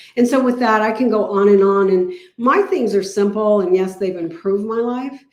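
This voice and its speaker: A woman speaks at a moderate pace in an animated tone, her pitch fairly high with ordinary variation. Audible room echo surrounds her voice. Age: 60s. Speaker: health product distributor. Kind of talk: testimony.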